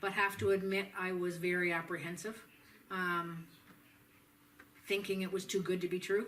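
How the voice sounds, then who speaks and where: A woman with a Canadian accent speaks in a monotone, flat way at a moderate pace, with long, frequent pauses and audible room echo. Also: medium pitch for a woman. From southern Ontario, Canada. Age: 60s. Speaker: patient. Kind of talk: testimony. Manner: halting, with many fillers.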